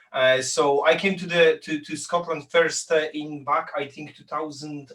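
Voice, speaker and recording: Over noticeable background noise, a man with a Polish accent speaks at a fairly slow pace in a fairly high voice. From Poland. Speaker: business founder. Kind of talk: interview. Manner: halting, many fillers and repeats.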